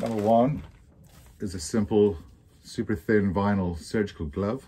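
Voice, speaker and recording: A man speaks at a fairly slow pace in a fairly low pitch, his tone dark and mellow and his pitch varying in an ordinary way. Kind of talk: tutorial. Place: office.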